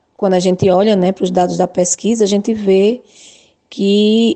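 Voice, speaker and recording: Fairly even intonation marks this woman's speech. Her pitch is medium. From Alagoas, Brazil (Arapiraca). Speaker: nursing professor. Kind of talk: radio interview. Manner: halting, many fillers.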